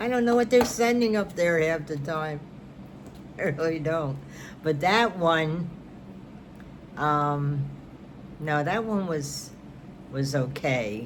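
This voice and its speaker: In a New York accent, a woman speaks with a very deep, low pitch and lively intonation. She goes at a very slow pace with long, frequent pauses, and the room echo is audible. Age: 70s. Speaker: knitting and crafts vlogger. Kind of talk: casual chat.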